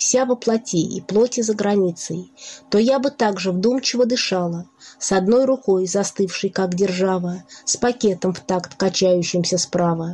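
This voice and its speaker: Delivered at a fairly slow pace, this is an unremarkable speaking voice with ordinary pitch variation. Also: woman. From Russia, Nizhny Novgorod. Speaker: poet. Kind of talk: poetry reading.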